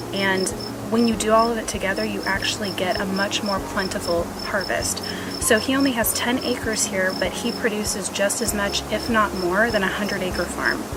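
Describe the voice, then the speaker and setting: Moderately paced speech from a woman at medium pitch with fairly even intonation, with audible room echo and noticeable background noise. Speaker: travel vlogger. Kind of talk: on-location vlog. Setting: outdoors on a farm.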